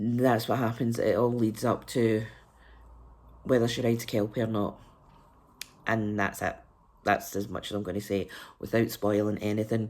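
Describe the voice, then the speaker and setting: In a Scottish accent, a woman speaks at a moderate pace with a very deep, low pitch and flat, monotone intonation. Long pauses come often. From Scotland. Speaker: book reviewer. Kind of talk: casual vlog review.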